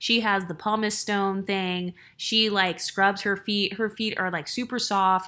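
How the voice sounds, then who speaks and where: On a very clean recording with a silent background, a woman speaks at a medium pitch and a fairly slow pace, her bright, sharp tone delivered in a monotone, flat intonation. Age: 30s. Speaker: YouTuber. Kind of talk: vlog monologue. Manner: casual, conversational.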